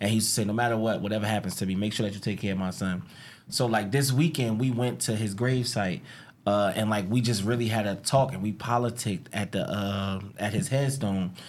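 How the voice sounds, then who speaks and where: A man with a New Jersey accent, fairly low-pitched, fairly quick, animated in tone, with ordinary pitch variation. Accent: New Jersey American English. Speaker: podcast host. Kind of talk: casual chat.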